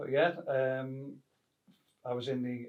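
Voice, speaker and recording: The speaker is a man. His pitch is fairly high. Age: 60s. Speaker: actor and retired police officer. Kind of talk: interview. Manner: hesitant, many fillers.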